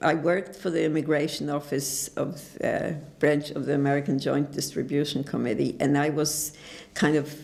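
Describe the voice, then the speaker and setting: Over noticeable background noise, the speaker talks at a moderate pace in a monotone, flat intonation. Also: woman, very deep, low pitch for a woman. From Poland, Lodz. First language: Polish. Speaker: Holocaust survivor. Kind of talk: oral history interview. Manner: halting.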